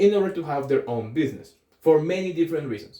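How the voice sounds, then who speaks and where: This voice has a dark, mellow tone and a Colombian accent. Its intonation is lively. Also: man. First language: Spanish. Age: 20s. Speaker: aspiring entrepreneur vlogger. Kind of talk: casual vlog monologue. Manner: hesitant, with fillers.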